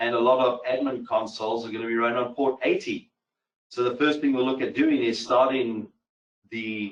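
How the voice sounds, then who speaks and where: A man talks at a moderate pace with a medium pitch and fairly even intonation. His speech has long, frequent pauses. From mixed, grew up in several countries. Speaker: cybersecurity instructor. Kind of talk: technical webinar tutorial.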